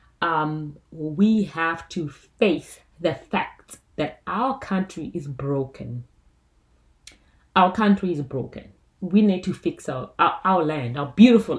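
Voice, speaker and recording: At a very slow pace, a woman speaks in a fairly low, somewhat breathy voice with lively intonation. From South Africa. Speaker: YouTuber. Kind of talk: casual vlog commentary. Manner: animated.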